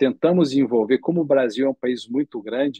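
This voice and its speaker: Moderate pace and ordinary pitch variation. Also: man. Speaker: ophthalmologist. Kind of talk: lecture. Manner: halting, with many fillers.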